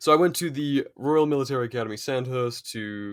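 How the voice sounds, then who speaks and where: A man speaks at a very fast pace with an English accent. The recording is very clean, with a silent background. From England. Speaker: British Army veteran. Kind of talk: casual interview chat.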